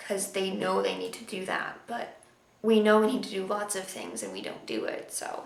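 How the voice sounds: Vocal fry and lively intonation mark this voice at a moderate pace. Strong room echo fills the recording. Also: woman.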